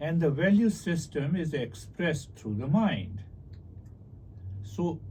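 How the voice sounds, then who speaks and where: A man's fairly high-pitched voice with a dark, mellow tone, vocal fry and very wide pitch swings, plus audible room echo. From India. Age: 60s. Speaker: meditation teacher and author. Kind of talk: interview about spirituality.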